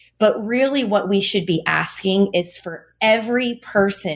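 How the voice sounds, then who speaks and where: Over a quiet background, a woman speaks in a normal speaking voice at medium pitch with ordinary pitch variation. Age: 40s. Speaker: registered dietitian and author. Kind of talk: interview conversation.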